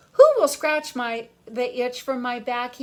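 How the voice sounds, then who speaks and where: A woman speaks in a put-on character voice, pitched high. Her pace is fairly slow. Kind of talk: bedtime story. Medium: read story. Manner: sighing with relief.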